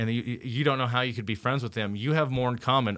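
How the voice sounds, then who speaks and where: On a very clean recording with a silent background, a man speaks at medium pitch. He has a normal speaking voice with ordinary pitch variation. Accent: American. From Indiana, US Midwest. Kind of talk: casual chat.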